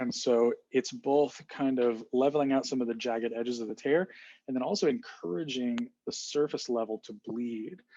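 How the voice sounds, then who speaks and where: A man talks with a medium pitch and a dark, mellow tone. His pitch variation is ordinary. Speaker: student giving a class presentation. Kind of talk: recorded class presentation. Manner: fast; hesitant, with fillers and restarts.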